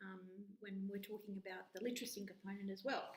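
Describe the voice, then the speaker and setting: In an Australian accent, a woman speaks at a very fast pace. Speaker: university lecturer. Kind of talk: course introduction talk. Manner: hesitant, with filler words.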